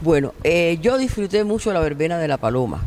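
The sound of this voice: A woman speaks at a fairly quick pace with a fairly low pitch and a slightly mellow tone. Her pitch moves in big swings.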